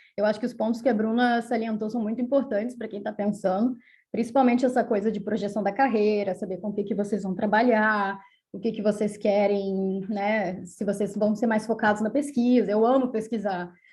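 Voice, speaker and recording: A woman's fairly high, somewhat breathy voice carries a dark, mellow tone and a monotone, flat intonation. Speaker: doctoral researcher. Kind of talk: panel talk. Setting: academic seminar. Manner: fast.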